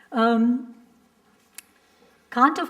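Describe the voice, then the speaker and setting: With an Indian accent, a woman speaks at a high pitch. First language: Hindi. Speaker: professor. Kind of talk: panel discussion.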